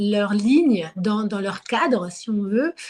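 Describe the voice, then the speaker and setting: A woman's fairly high voice moves with lively intonation at a very slow pace. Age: 30s. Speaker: market gardener and former researcher. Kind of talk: interview. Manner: hesitant, many fillers.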